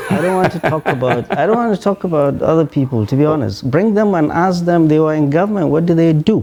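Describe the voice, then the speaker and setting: Very fast delivery with hardly any pauses, against noticeable background noise. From Nigeria. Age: 60s. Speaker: professor. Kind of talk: TV interview. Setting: studio. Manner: animated.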